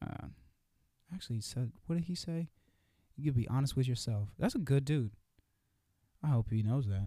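A man with an American accent speaks at a moderate pace and medium pitch, his tone dark, mellow and somewhat breathy, his intonation lively, with long, frequent pauses. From California. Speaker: podcast host. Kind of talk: casual monologue. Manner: halting.

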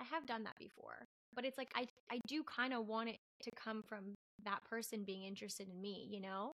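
A woman speaks in a normal speaking voice at a fairly quick pace. Her pitch is fairly high, with ordinary variation. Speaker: teacher. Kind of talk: casual chat.

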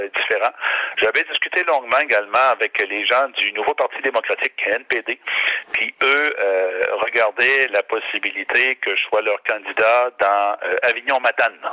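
A man speaks at a fairly slow pace. The sound is dry and close with no echo, though background noise is noticeable. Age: 50s. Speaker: regional politician. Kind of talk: interview. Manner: halting.

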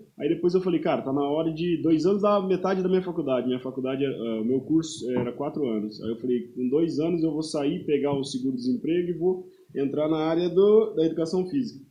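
A man with a fairly high pitch talks with hardly any pauses and ordinary pitch variation. There is noticeable background noise. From Paraná interior, Brazil. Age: 30s. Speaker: personal trainer and football referee. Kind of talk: casual interview chat. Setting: podcast studio, live stream.

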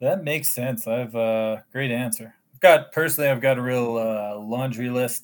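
The text is read in a natural reading voice.

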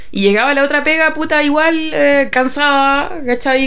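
A woman speaks at a moderate pace with lively intonation. Noticeable background noise and audible room echo fill the recording. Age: 30s. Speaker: podcast co-host. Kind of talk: casual chat.

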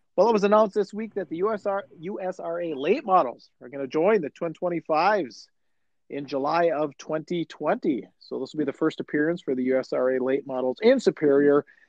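A man with an American accent has an ordinary speaking voice and a fairly high pitch. He talks at a moderate pace with lively intonation. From Chisholm, northern Minnesota. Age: 40s. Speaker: podcast host. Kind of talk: casual chat.

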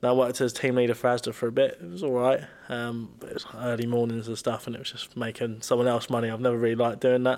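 With a southern English accent, a man of medium pitch speaks at a very fast pace in a flat monotone, hardly pausing at all. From southern England, Brighton. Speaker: personal trainer. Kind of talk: casual chat.

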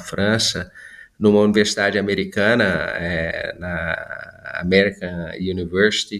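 A bright, sharp tone with fairly even intonation at a very slow pace, on a very clean recording with a silent background. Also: man. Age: 50s. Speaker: business executive. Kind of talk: interview.

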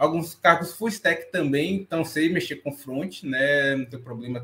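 An ordinary speaking voice from a man, fairly high in pitch with ordinary pitch variation, at a fairly slow pace. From Brazil, Salvador, Bahia. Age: 20s. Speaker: back-end developer. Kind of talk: panel discussion.

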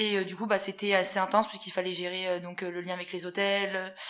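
A woman speaks at a medium pitch in monotone, flat intonation. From central France (Haute-Loire, Puy-de-Dôme). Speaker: events sales assistant. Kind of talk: interview. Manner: hesitant, many fillers.

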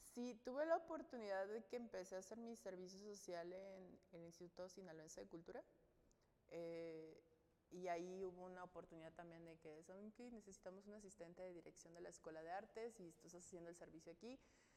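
A woman with a dark, mellow tone talks at a fairly quick pace with ordinary pitch variation. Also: medium pitch for a woman. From Mexico, Sinaloa. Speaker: UX designer. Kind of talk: interview.

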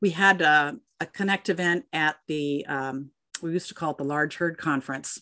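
A woman with an American accent, very deep and low in pitch, with ordinary pitch variation and a moderate pace, recorded dry and close with no echo against a quiet background. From Minnesota, US Midwest. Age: 60s. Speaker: dairy industry women's network leader. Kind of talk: interview.

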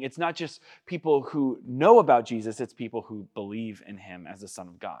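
With an American accent, a man talks at a moderate pace in an unremarkable speaking voice over a quiet background. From Washington state, US. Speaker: youth pastor. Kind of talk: sermon.

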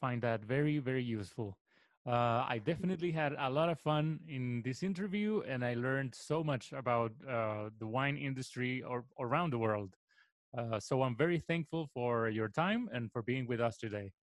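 This man speaks with a Spanish accent at a moderate pace. His pitch is medium, with ordinary variation. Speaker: radio host. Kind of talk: interview.

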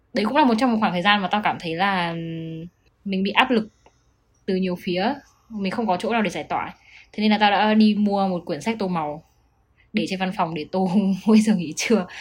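A somewhat breathy woman's voice at a fairly quick pace, with long, frequent pauses and ordinary pitch variation. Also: medium pitch for a woman. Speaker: podcast co-host. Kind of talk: casual chat.

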